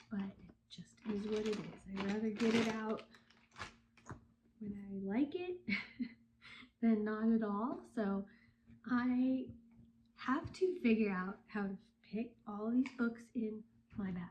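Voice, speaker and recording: Speaking at a very slow pace with long, frequent pauses, a woman uses a fairly high, somewhat breathy voice with a dark, mellow tone and ordinary pitch variation. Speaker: book vlogger. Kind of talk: vlog. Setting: packing at home. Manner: casual, scattered.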